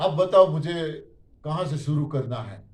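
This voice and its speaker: Audible room echo around a male speaker with ordinary pitch variation. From Gujarat, India. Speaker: diet system speaker. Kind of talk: testimony. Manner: animated.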